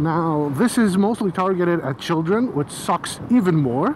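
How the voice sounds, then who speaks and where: The speech comes at a very slow pace over noticeable background noise. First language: Greek. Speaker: motorcycle vlogger. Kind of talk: casual vlog monologue. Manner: casual with frequent fillers.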